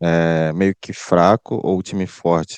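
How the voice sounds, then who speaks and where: Against a quiet background, a man speaks with fairly even intonation in a dry, close sound with no echo. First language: Portuguese. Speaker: esports pro player. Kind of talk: press conference answers.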